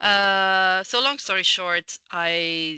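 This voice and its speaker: In a Portuguese accent, a woman speaks at a medium pitch with ordinary pitch variation, sounding dry and close with no echo over a quiet background. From Portugal. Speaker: architect and building energy consultant. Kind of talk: casual interview conversation. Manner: halting, many fillers.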